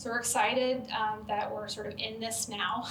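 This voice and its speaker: Speaking at a fairly quick pace, a woman with a fairly high pitch and vocal fry is heard with audible room echo. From US Midwest, rural Southern Illinois. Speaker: social work professor. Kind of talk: Q&A after a talk. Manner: hesitant, many fillers.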